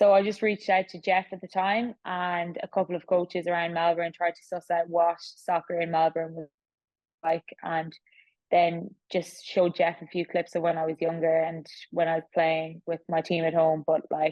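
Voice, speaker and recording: A woman's fairly low voice in an Irish accent, monotone and flat in intonation, at a moderate pace with big swings in loudness. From Ireland. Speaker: professional athlete. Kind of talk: interview.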